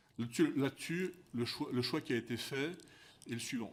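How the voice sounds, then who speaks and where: The man talks at a fairly quick pace. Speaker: company executive testifying at parliamentary hearing. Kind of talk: formal testimony at parliamentary commission hearing. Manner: fast; halting, frequent repetitions.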